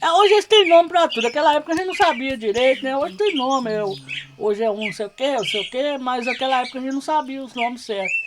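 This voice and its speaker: Over noticeable background noise, a woman talks at a very fast pace with a high pitch and very wide pitch swings. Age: 60s. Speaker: quilombola elder, medicinal plant keeper. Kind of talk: casual podcast conversation.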